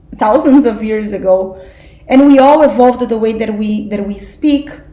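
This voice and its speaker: Over noticeable background noise and audible room echo, a woman speaks at a fairly slow pace with lively intonation. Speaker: spiritual study group teacher. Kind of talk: class lecture.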